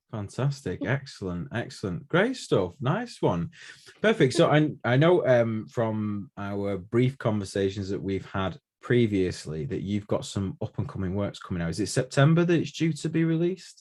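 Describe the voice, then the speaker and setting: Speaking with a Manchester accent, a man talks at a medium pitch and a moderate pace. His pitch swings very widely, and the background is quiet. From Manchester, England. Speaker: podcast host. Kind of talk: casual interview.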